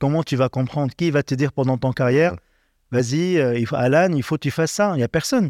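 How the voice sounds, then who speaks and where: On a very clean recording with a silent background and a dry, close sound with no echo, a man with a normal speaking voice talks at a fairly quick pace in a fairly high pitch, with ordinary pitch variation and very even loudness. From Lebanon. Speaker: chef. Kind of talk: interview.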